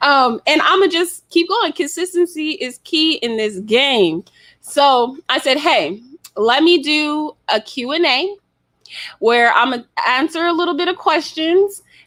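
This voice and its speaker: On a very clean recording with a silent background, a woman with an American accent speaks at a high pitch in a bright, sharp, animated tone, fairly slowly and with lively intonation. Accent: slight Southern, comes out sometimes. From US South. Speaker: podcast host. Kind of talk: casual chat.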